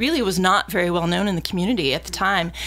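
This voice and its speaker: A woman's voice with noticeable background noise. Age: 50s. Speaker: music festival director. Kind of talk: casual chat.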